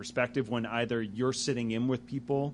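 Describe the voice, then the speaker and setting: Talking at a fairly quick pace, a man has an unremarkable speaking voice. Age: 30s. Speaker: magazine interviewer and jazz saxophonist. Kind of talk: casual interview. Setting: music venue.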